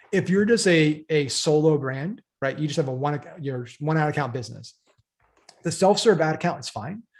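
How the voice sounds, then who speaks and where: Somewhat breathy speech at a moderate pace with ordinary pitch variation. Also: man, fairly high pitch for a man. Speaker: marketing webinar presenter. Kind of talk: webinar training. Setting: live webinar with screen share.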